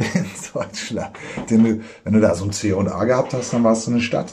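A man is talking. His pitch sits fairly low. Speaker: screenwriter and podcast host. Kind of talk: casual chat. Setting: kitchen.

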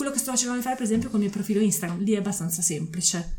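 Over noticeable background noise, a woman talks with lively intonation at a medium pitch. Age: 40s. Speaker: zero-waste advocate. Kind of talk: casual chat. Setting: at her home.

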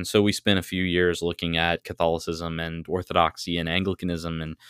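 A man speaks at a moderate pace in a very deep, low voice. The recording is very clean, with a silent background. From US South, North Carolina. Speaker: Anglican priest. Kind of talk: casual theological interview.

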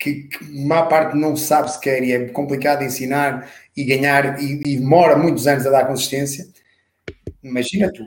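There is audible room echo as a man with a fairly high pitch talks at a moderate pace in a monotone, flat intonation. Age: 40s. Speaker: personal trainer. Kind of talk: casual chat. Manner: halting, many repetitions.

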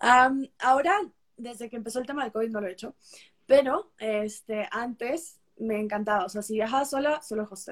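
A woman at a fairly high pitch speaks at a moderate pace, with ordinary pitch variation and big swings in loudness. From Peru. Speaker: travel content creator. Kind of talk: casual interview.

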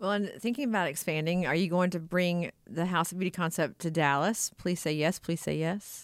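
A woman with a normal speaking voice talks at a moderate pace in an American accent, with hardly any pauses. Her pitch is fairly low with ordinary variation, and her loudness stays very even. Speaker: podcast host. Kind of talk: interview.

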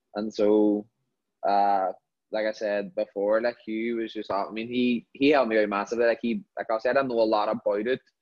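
A man with a Northern Irish accent speaks in a fairly low pitch with monotone, flat intonation. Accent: Derry Northern Irish. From Northern Ireland, Derry. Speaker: professional footballer. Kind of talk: casual interview.

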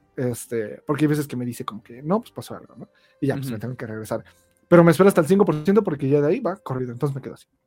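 A man with a fairly high voice talks at a very fast clip, his intonation lively, while music plays in the background. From Mexico, State of Mexico (Ecatepec). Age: 20s. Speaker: YouTuber. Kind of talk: casual chat.

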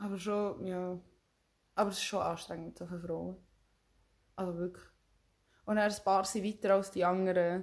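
With a medium pitch and a monotone, flat intonation, a woman talks with long, frequent pauses. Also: moderate pace. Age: 20s. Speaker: podcast co-host, trained hotel specialist. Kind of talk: casual chat. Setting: recording face to face with co-host.

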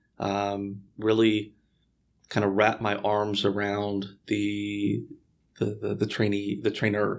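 Against a silent background in a very clean recording, an American-accented man talks very slowly at a fairly low pitch. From Houston, Texas. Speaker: real estate broker. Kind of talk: interview.

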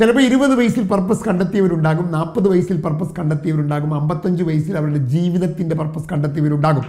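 A man speaks at a high pitch with ordinary pitch variation. There is audible room echo. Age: 50s. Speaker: motivational trainer. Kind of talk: motivational talk.

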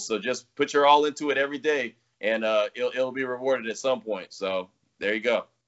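Talking at a fairly quick pace, a man with an American accent uses a medium pitch and ordinary pitch variation. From California. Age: 40s. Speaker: sports radio host and podcaster. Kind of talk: casual interview chat. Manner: animated.

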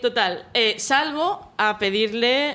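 With lively intonation, a woman talks in a bright, sharp tone. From Catalonia, Mataró. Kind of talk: storytelling.

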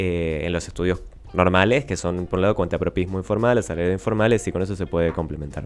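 The pace is very fast. Intonation stays fairly even throughout. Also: man. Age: 20s. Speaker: economics columnist. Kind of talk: radio interview on economics.

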